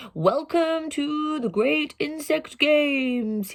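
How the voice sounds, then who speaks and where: A woman's put-on character voice, high-pitched and very slow. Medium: read story. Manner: proclaiming.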